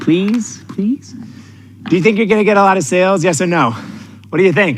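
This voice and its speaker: An intense, energetic man with a New York accent. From New York City. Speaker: sales coach. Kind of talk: motivational seminar talk. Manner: energetic, animated; direct, intense.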